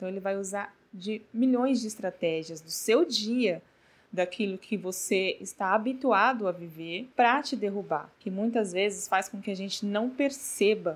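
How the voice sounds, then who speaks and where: In a very clean recording with a silent background, a woman speaks at a moderate pace in a plain, everyday voice, medium in pitch with lively intonation. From Brazil, São Paulo. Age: 30s. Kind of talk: devotional talk. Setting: not a proper recording space.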